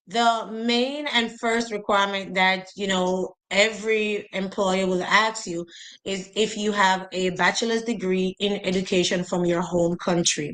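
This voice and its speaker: Speaking with a Jamaican accent, a woman keeps a medium pitch and fairly even intonation at a fairly slow pace with hardly any pauses. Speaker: educator, teacher recruitment advisor. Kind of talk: instructional talk in interview. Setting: live stream video call.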